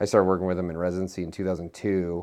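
This man has a very deep, low pitch and a Midwestern American accent. The background is quiet. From Nebraska, US Midwest. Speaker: physician and clinical researcher. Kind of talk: interview testimony.

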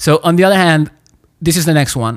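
A man speaks fairly quickly with a Spanish accent. His pitch varies in an ordinary way. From Chile. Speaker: podcast host. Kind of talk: interview. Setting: video call.

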